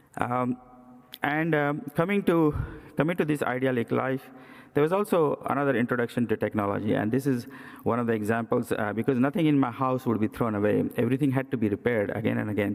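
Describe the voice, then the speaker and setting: A man with an Indian accent at a very fast pace, with very even loudness and ordinary pitch variation. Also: medium pitch for a man. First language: Indian language. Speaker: cardiac surgeon. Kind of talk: presidential address. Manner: hesitant with many fillers.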